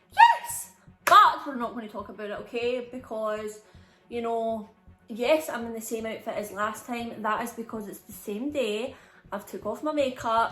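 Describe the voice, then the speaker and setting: A high-pitched woman with a Scottish accent at a fairly slow pace, music in the background. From Scotland. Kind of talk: casual storytime talk to camera. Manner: chatty, animated.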